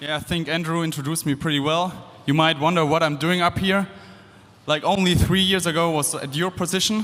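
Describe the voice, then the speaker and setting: A man's high-pitched voice with fairly even intonation and a German accent. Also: fairly quick pace. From Germany. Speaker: engineering student and former competitor. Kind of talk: presentation to audience. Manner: casual, with fillers and restarts.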